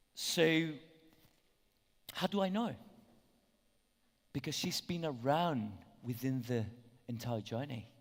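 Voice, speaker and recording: A medium-pitched man at a very slow pace, long, frequent pauses and lively intonation amid audible room echo. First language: Spanish. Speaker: conference speaker. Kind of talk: conference talk. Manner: hesitant, many fillers.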